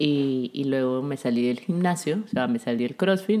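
A woman with a very deep, low pitch makes very wide pitch swings over noticeable background noise. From Ecuador. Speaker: podcast co-host. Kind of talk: casual chat. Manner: soft-spoken.

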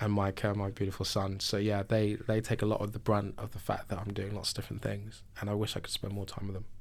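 Here a man with a London accent talks at a very fast pace, with hardly any pauses. His pitch is fairly low and his intonation monotone and flat. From South London, England. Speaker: venture capital investor. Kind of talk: interview.

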